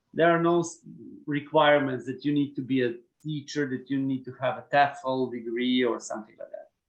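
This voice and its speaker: Speaking at a fairly quick pace with a Slavic accent, a man uses a fairly high pitch and big swings in loudness. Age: 30s. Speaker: HR manager. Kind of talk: Q&A session. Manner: halting.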